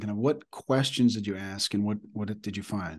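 A man with an ordinary speaking voice, moderate pace and ordinary pitch variation. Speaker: podcast interviewer. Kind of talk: interview.

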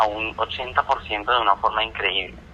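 A man's fairly low-pitched voice comes through noticeable background noise. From Colombia. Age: 20s. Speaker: audiovisual producer. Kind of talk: interview. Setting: phone call. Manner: halting.

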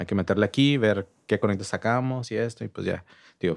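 The recording is very clean with a silent background. A man speaks at a moderate pace with ordinary pitch variation in a normal speaking voice. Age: 30s. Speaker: music venue manager and promoter. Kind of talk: casual chat.

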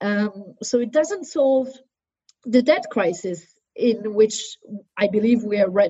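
Somewhat breathy, this voice speaks with a French accent at a very slow pace, broken by long, frequent pauses. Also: woman, fairly high pitch for a woman, lively intonation. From southern France. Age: 30s. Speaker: politician. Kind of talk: interview. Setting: video call.

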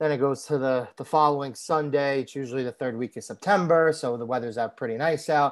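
In a New York accent, a man with fairly high pitch talks at a fairly quick pace with fairly even intonation over a quiet background. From New York City, Staten Island. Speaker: podcast co-host. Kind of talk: casual interview chat.

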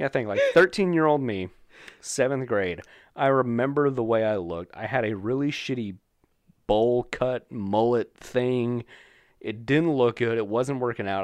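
A man's normal speaking voice at medium pitch, with ordinary pitch variation, a moderate pace and a quiet background. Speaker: podcast host. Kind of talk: casual banter, comedic chat. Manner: profane, joking, rambling.

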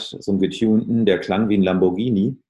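Using an ordinary speaking voice, a man speaks at a moderate pace with fairly even intonation. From Ruhr area, Germany. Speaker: musician and audio branding consultant. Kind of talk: casual interview.

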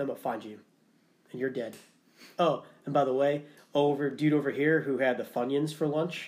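With a New England accent, a man speaks at a fairly quick pace. His pitch sits fairly high. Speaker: podcast host, military veteran. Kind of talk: casual interview chat.

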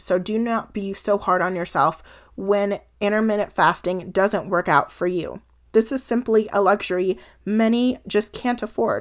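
A woman with an unremarkable speaking voice and a General American accent talks at a fairly slow pace, with a medium pitch and ordinary pitch variation, over a quiet background. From Colorado. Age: 20s. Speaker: health coach podcaster. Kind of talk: casual solo podcast monologue.

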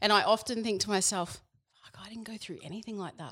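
A woman speaks with an Australian accent. The recording is very clean with a silent background. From Queensland, Australia. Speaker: personal coach. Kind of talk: casual chat.

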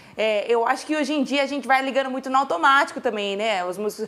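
In an animated tone, a woman speaks at a high pitch. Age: 30s. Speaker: talk show host. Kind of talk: casual interview.

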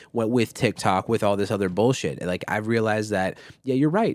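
A man with an American accent and a plain, everyday voice speaks at a fairly low pitch in a very clean recording with a silent background. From Minnesota, US. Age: 20s. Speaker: podcast host and music artist. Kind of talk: casual chat.

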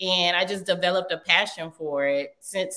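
In a Southern US accent, a woman with a fairly low pitch and a bright, sharp tone talks at a moderate pace with fairly even intonation. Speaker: chef and business owner. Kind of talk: interview. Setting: remote call.

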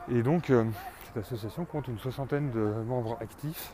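Speaking at a medium pitch with ordinary variation, a man is heard over noticeable background noise. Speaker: comic book author and podcaster. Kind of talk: solo monologue podcast. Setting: outdoors at night, street. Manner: hesitant, many fillers.

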